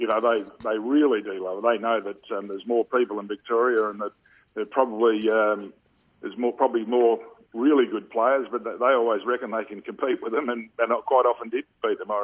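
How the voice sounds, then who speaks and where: A man at medium pitch with an Australian accent, fairly quick pace and fairly even intonation. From Western Australia, Perth (Subiaco). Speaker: former Australian rules footballer and coach. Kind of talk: radio interview.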